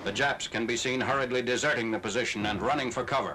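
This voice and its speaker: A man's medium-pitched, flat monotone at a very fast pace, over noticeable background noise. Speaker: newsreel narrator. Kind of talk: newsreel narration.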